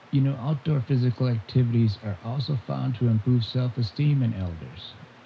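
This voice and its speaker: A man talks at a fairly quick pace and medium pitch, his somewhat breathy voice dark and mellow in tone, with ordinary pitch variation. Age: 70s. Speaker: outdoors camping vlogger. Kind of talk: casual talk to camera.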